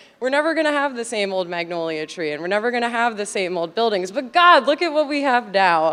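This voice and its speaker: Her delivery moves along fairly quickly. This woman's intonation rises and falls in a lively way. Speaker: alumni committee chair. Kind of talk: conference presentation. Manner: loud; casual, chatty.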